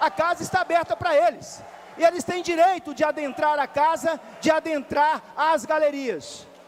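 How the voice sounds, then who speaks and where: Extremely high-pitched for a man, his voice moves at a moderate pace with fairly even intonation. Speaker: city councillor. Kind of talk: parliamentary speech. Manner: repetitive, halting.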